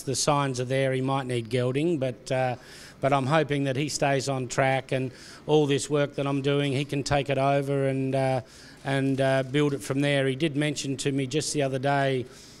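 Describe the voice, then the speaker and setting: Speaking at a moderate pace, a man with an Australian accent keeps a monotone, flat intonation. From South Australia. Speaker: racehorse trainer. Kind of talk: interview answer.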